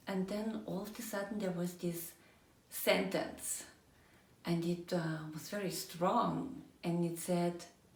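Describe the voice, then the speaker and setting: Against noticeable background noise and audible room echo, a woman with a fairly low pitch speaks at a very slow pace. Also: ordinary pitch variation. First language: German. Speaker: energy coach. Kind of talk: personal storytelling monologue.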